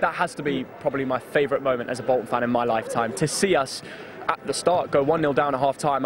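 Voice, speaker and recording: A man's fairly high pitch with fairly even intonation over noticeable background noise. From northern England. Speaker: YouTuber, football fan. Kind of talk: interview.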